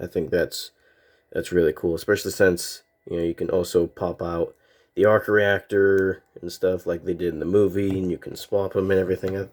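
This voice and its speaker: At a moderate pace, a man with a very deep, low pitch speaks in a monotone, flat delivery on a very clean recording with a silent background. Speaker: toy reviewer. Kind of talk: product review. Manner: casual, with fillers and self-corrections.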